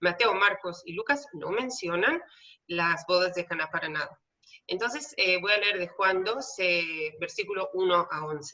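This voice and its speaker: A woman's medium-pitched voice with a Hebrew accent, lively intonation and a fairly slow pace. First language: Hebrew (speaking Spanish). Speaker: theologian and tour guide. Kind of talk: lecture. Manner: many filler hesitations.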